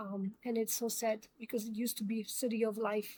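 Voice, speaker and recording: On a very clean recording with a silent background, a woman with a non-native accent speaks at a fairly high pitch. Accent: foreign. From immigrant, grew up in New York. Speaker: commentary show host. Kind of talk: opinion monologue. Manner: hesitant, many fillers.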